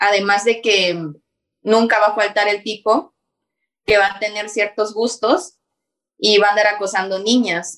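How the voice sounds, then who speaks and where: At a fairly slow pace, a woman with a medium pitch speaks with fairly even intonation and long, frequent pauses. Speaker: YouTuber. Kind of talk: casual chat.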